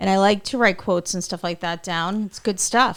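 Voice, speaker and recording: An ordinary speaking voice from a woman, medium in pitch, with fairly even intonation on a very clean recording against a silent background. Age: 40s. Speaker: podcast host. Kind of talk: casual interview.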